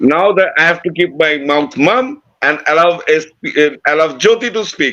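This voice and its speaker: Speaking in an Indian accent at a fairly slow pace, a man uses a high pitch, a bright, sharp tone and lively intonation. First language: Bengali. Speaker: podcast co-host. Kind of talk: casual chat.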